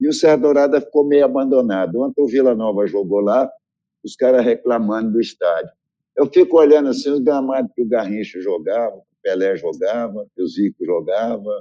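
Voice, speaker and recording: A man's loudness swings widely as he speaks at a moderate tempo. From Brazil, Minas Gerais (Triângulo Mineiro). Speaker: football coach. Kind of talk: interview, casual chat.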